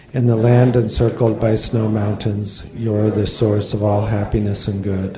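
A man's monotone, flat delivery moves at a moderate pace against noticeable background noise. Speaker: Dharma center member, therapist, introducing the speaker. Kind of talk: introduction and moderating.

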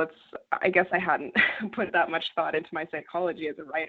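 A woman speaks with a Canadian accent in an unremarkable speaking voice. Her pitch is fairly low and her pace fairly quick. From rural Canada. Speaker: journalist. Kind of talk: interview.

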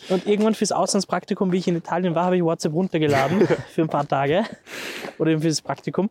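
The speech comes at a very fast pace with very even loudness, in a dry, close sound with no echo, over noticeable background noise. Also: man, high pitch for a man. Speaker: podcast co-host. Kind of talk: casual chat. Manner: talks very high when excited.

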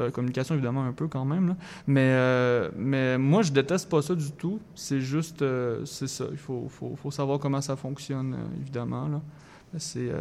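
Against noticeable background noise, a man with a fairly high voice speaks at a fairly slow pace with fairly even intonation. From Quebec, Thetford Mines (Chaudière-Appalaches). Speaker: singer-songwriter. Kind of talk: radio interview.

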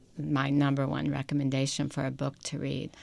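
On a very clean recording with a silent background, a woman with an American accent speaks in a very deep, low pitch with vocal fry. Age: 70s. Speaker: psychotherapist. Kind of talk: interview. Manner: halting.

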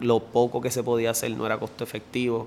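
This is a man speaking. He has a Puerto Rican accent. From Puerto Rico, Bayamón. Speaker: clothing brand founder. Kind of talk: interview.

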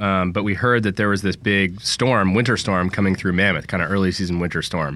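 Speaking with an American accent at a fairly quick pace, a man has a fairly low pitch, a bright, sharp tone, fairly even intonation and very even loudness. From San Francisco, California. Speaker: outdoor gear company founder. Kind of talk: casual chat. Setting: studio.

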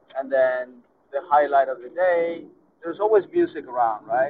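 A man with a Spanish accent talks with ordinary pitch variation. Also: big swings in loudness. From Argentina, Buenos Aires. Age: 50s. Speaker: tango dancer and teacher. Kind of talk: interview. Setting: on the road while traveling.

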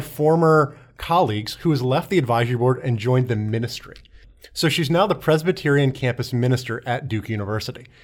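A plain, everyday voice moves at a fairly quick pace with lively intonation. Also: man. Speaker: panelist. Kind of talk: casual panel discussion.

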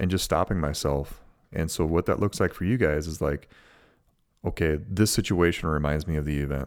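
A man with an Upper Midwest accent speaks in a very deep, low voice with ordinary pitch variation at a moderate pace. The recording is very clean, the background silent. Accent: Upper Midwest American. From US Midwest, Minnesota. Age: 40s. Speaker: podcast host. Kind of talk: advice monologue. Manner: casual, many fillers.

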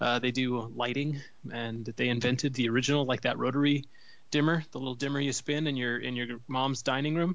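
At a fairly quick pace and with fairly even intonation, a man with an American accent speaks in a plain, everyday voice. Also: medium pitch for a man. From US Midwest, Cleveland. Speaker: podcast co-host. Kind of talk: casual chat. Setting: phone call.

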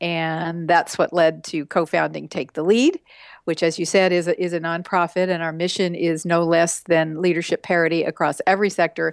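A woman's fairly low voice in an American accent, monotone and flat in intonation, over a quiet background. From West Texas. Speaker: author and women's rights activist. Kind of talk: interview.

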